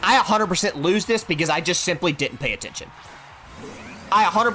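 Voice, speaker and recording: Over music in the background, a man talks at a very fast pace in a high-pitched, animated tone with lively intonation. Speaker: gaming streamer. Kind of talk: live gameplay stream commentary. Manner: loud.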